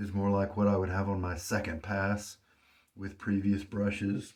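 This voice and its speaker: A man is speaking. His voice is somewhat breathy. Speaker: wet shaving hobbyist. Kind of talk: casual talk to camera, shave review.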